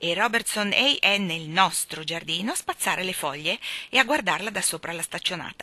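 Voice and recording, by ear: A natural voice reading aloud, full of lively intonation.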